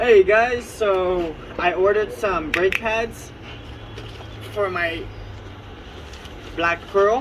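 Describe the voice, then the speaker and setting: The speaker goes at a very slow pace with long, frequent pauses over noticeable background noise. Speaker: car hobbyist vlogger. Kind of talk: unboxing video. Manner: casual; loud.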